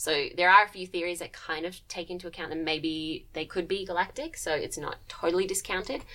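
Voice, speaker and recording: A woman with an Australian accent talks at a fairly quick pace, with hardly any pauses. Her fairly low voice shows ordinary pitch variation and big swings in loudness. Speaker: PhD student in astronomy, co-host. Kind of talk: casual chat. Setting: studio.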